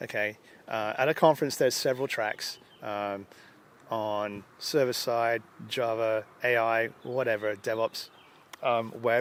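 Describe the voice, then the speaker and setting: With an English accent, a man at a medium pitch speaks fairly slowly and with fairly even intonation, leaving long, frequent pauses. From England, London. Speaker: user group organizer and conference speaker. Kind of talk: interview. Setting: at a conference.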